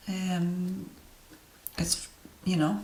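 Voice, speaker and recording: With audible room echo and noticeable background noise, a woman speaks at a fairly low pitch with fairly even intonation. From Romania. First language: Romanian. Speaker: tarot reader and astrologer. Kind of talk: deck review monologue. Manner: hesitant, many fillers.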